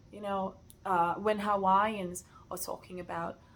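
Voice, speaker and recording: A woman is speaking. She has a Portuguese accent. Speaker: sewing content creator. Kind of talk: casual rant. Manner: hesitant, many fillers.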